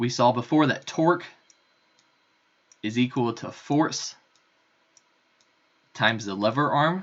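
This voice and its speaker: A man's medium-pitched voice at a fairly slow pace, with ordinary pitch variation and long, frequent pauses. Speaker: physics lab instructor. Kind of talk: lecture. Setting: recorded remote lecture.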